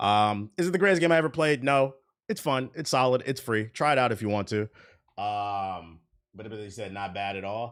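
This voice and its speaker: Lively, moderately paced male speech with big swings in loudness, on a very clean recording with a silent background. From Washington DC. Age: 30s. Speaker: gaming streamer. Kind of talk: live stream chat. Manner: casual, filler-heavy.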